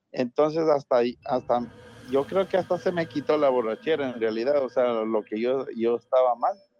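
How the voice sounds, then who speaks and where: Over music in the background, a man talks at a medium pitch and moderate pace with ordinary pitch variation in a dry, close sound with no echo. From Ecuador, Latacunga. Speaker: caller. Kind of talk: telling a personal ghost story. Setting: phone call.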